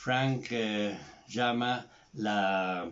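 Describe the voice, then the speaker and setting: The voice has ordinary pitch variation and is heard with audible room echo. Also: man. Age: 70s. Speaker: psychotherapist. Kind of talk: recorded tribute address. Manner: hesitant with fillers.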